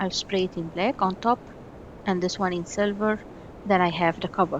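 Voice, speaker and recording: A woman speaks at a moderate pace with a medium pitch and fairly even intonation. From Egypt. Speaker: miniature craft artist. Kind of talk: tutorial. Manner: halting.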